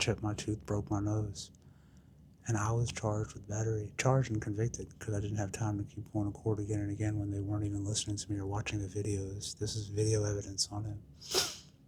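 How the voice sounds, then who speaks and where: This man speaks very fast in a somewhat breathy voice. His intonation is monotone and flat. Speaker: recovery storyteller. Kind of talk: personal testimony. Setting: dentist waiting room. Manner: casual, conversational with fillers.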